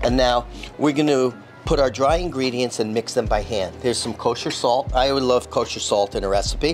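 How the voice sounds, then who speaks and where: A man keeps a moderate pace while clear music plays behind him. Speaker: chef instructor. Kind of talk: tutorial. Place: kitchen. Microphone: lapel.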